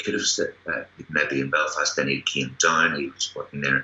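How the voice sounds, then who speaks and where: Over noticeable background noise, a man with a Northern Irish accent talks at a moderate pace. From Northern Ireland. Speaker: actor. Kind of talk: interview.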